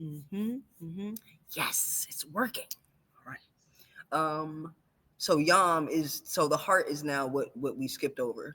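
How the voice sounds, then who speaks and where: A woman's very deep, low voice, bright and sharp in tone, with lively intonation and long, frequent pauses, on a very clean recording with a silent background. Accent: American. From Washington DC. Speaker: astro numerologist. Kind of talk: guided chakra sound exercise in podcast interview. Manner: slow, guiding.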